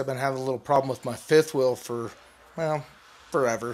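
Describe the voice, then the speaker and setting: A man speaks with fairly even intonation. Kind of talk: casual vlog chat. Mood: playful, relieved. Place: home room. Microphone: phone near.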